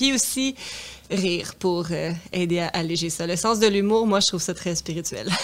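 A woman speaks in an ordinary speaking voice at a medium pitch, with ordinary pitch variation and a fairly slow pace. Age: 30s. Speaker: singer's daughter. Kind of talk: interview conversation.

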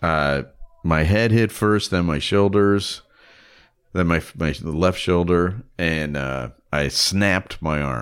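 A man with a Chicago accent, very deep and low in pitch, with ordinary pitch variation, at a very slow pace, on a very clean recording with a silent background. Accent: Chicago American English. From Chicago area, partly raised in Germany. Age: 60s. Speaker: author and podcaster. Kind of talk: casual chat.

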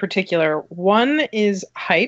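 A woman speaks at a very slow pace in a fairly high pitch. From New Jersey. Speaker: film magazine writer. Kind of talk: casual chat.

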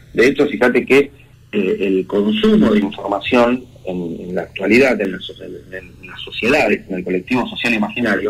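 A plain, everyday voice, a man's, with lively intonation at a moderate pace. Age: 40s. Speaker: communication consultant. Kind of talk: interview.

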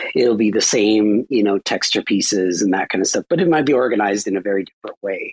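This man's voice is fairly low, with ordinary pitch variation, and he talks very fast with hardly any pauses. The sound is dry and close, with no echo. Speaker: co-host, AI art teacher. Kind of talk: casual chat.

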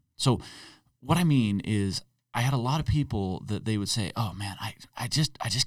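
In a very clean recording with a silent background, a man talks at a moderate pace and a medium pitch, using an unremarkable speaking voice with lively intonation. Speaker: podcast co-host. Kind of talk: casual chat.

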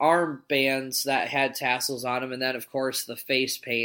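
Loud and bright with a sharp tone, a man speaks at a fairly high pitch in a very clean recording with a silent background. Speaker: podcast host. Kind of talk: casual chat. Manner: loud talker.

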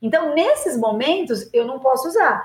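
This woman's voice sits high in pitch. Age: 50s. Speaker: gynecologist and obstetrician. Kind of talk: interview, expert explanation.

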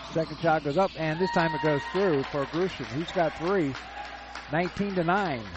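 A high-pitched man at a moderate pace, ordinary pitch variation, music in the background. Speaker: sports play-by-play announcer. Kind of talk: live sports commentary. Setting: gymnasium, courtside broadcast. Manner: stumbles and self-corrects.

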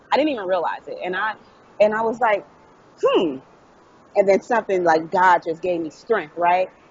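Against noticeable background noise, a woman with an American accent speaks at a moderate pace and medium pitch with ordinary pitch variation and long, frequent pauses. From US Midwest, Dayton, Ohio. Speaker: author. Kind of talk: interview.

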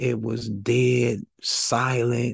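A man with an American accent speaks at a medium pitch with vocal fry. His delivery is monotone and flat. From Flint, Michigan, US. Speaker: exoneree and prison organizer. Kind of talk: interview storytelling.

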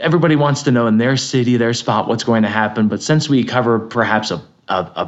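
A man with an American accent has an unremarkable speaking voice at medium pitch with ordinary pitch variation. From Connecticut, New England. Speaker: broadcast meteorologist. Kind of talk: interview.

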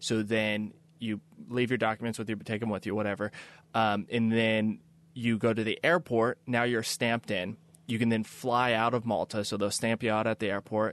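A man with an American accent speaks at a moderate pace in a monotone, flat intonation. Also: medium pitch for a man, quiet background. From US Midwest, Kansas City. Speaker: sailor and filmmaker. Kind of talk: interview.

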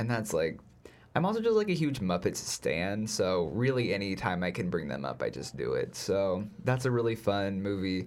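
A man with a plain, everyday voice talks at a moderate pace, his fairly low pitch carrying lively intonation. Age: young. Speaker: movie podcast co-host. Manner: joking, playful.

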